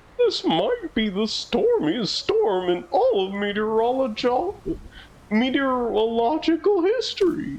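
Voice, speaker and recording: A put-on character voice, high in pitch with very wide pitch swings, at a fairly slow pace. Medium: game stream.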